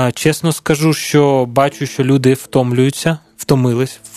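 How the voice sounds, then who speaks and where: Fairly high in pitch, a man talks at a fairly slow pace with fairly even intonation. He has an unremarkable speaking voice. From Ukraine, Dnipro. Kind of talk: radio interview. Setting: studio.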